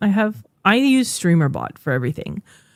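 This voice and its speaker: Moderate pace, with a French Canadian accent. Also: woman. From French Canada. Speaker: streamer and podcast co-host. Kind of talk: casual podcast chat.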